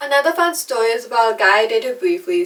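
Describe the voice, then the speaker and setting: Noticeable background noise sits under the voice. A woman talks at a fairly quick pace. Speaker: YouTuber, artist. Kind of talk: casual talk to camera.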